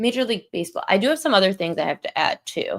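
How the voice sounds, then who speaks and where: In a very clean recording with a silent background, a woman mumbles. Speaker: sports betting analyst. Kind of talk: casual betting tips livestream. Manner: mumbling; casual with fillers.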